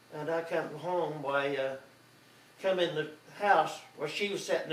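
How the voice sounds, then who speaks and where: Speaking with an Oklahoma accent, a man has a high pitch and fairly even intonation. Audible room echo and noticeable background noise are present. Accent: Oklahoma rural Southern US. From Oklahoma, El Reno area. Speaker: grandfather telling his life story. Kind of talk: oral history storytelling. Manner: halting, with many fillers.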